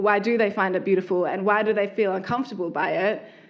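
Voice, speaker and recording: An Australian-accented woman with a fairly high pitch at a fairly quick pace. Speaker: artist and lingerie designer. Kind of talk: talk with audience.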